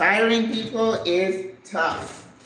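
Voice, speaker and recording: Behind a woman's speech there is noticeable background noise. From Haiti. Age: 60s. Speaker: retired business owner, cooking vlogger. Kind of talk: casual live-stream cooking chat. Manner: conversational, chatty.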